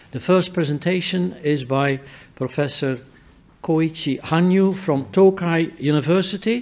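This man speaks in a fairly high pitch with a dark, mellow tone. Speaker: session chair. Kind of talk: moderating a conference session. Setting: conference hall with audience. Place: hall. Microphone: podium.

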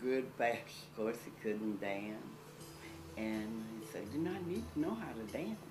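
With clear music in the background, a woman talks at a moderate pace. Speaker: interviewee recalling a family friend. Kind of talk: interview answer. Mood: warm, fond, reminiscing. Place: home room.

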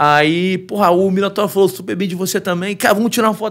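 Talking at a fairly quick pace, this man has a high pitch. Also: quiet background. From Brazil. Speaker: MMA fighter; podcast guest. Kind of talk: casual chat. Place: studio. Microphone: studio mic.

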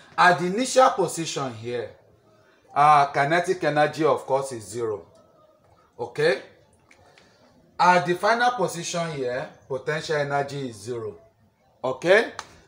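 A man speaks at a moderate pace with long, frequent pauses, big swings in loudness, and very wide pitch swings. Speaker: teacher. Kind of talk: lecture. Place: classroom. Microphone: camera far.

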